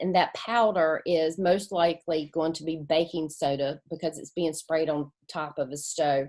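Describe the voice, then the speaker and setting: A woman with a North Carolina accent talks at a moderate pace with ordinary pitch variation. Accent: Southern US (North Carolina). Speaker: community engagement coordinator presenting. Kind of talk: presentation. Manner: halting, filler words.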